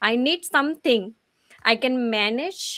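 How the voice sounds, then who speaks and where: At a very slow pace, a woman with a high, bright and sharp voice speaks using lively intonation. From India (Gujarat). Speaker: business coach. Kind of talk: interview answers.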